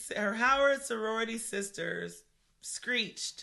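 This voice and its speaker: Animated in tone with some vocal fry, a woman speaks at a fairly slow pace with ordinary pitch variation. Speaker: podcast co-host. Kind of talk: casual chat. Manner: conversational, animated.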